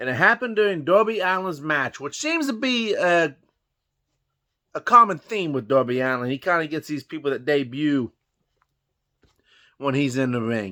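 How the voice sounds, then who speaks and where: In a very clean recording with a silent background, a man with a Southern US accent speaks at a moderate pace in a fairly high, bright and sharp voice, his pitch swinging very widely, with long, frequent pauses. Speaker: wrestling commentary vlogger. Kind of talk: casual monologue. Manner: conversational.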